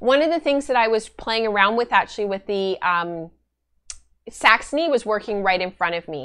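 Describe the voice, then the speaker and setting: A woman speaks in a bright, sharp tone with lively intonation. The background is quiet. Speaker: knitting and spinning podcast host; spinning podcaster. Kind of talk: casual chat. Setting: live stream. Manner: fast talker. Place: home room.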